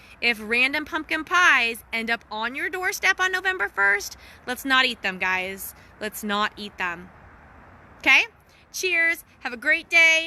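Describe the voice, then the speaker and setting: A woman speaks at a fairly slow pace in a high, bright, sharp voice with very wide pitch swings. Her voice is raised and projected. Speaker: wellness coach and social media host. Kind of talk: casual storytelling livestream. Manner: animated, laughing; lowered voice briefly.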